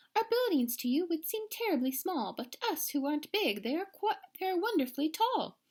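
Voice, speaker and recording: A woman does a put-on character voice, squeaky and extremely high, with very wide pitch swings. She speaks at a moderate pace. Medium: read story.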